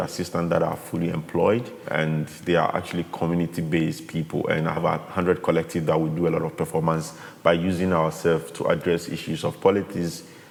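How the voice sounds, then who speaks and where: A man with a Ghanaian accent speaks in a very deep, low, monotone voice with flat intonation, at a fairly quick pace with hardly any pauses. There is noticeable background noise. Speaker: artist. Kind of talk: interview. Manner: halting.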